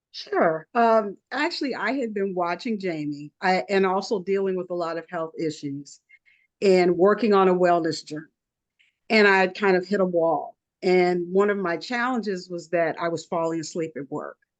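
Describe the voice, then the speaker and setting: A normal speaking voice, ordinary in pitch variation, keeps a moderate pace against a quiet background. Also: woman, medium pitch for a woman. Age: 60s. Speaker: wellness product distributor. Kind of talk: testimony.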